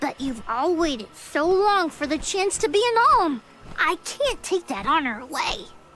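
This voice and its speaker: This put-on character voice sits at an extremely high pitch with very wide pitch swings. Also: moderate pace. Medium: video game. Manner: earnest, eager.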